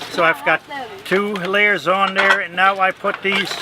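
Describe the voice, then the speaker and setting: A man speaks in a raised, projected voice at a high pitch and a moderate pace. Noticeable background noise runs underneath. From South Dakota, around Mitchell, German-speaking home. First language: German. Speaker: broom maker, craft demonstrator. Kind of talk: craft demonstration and interview.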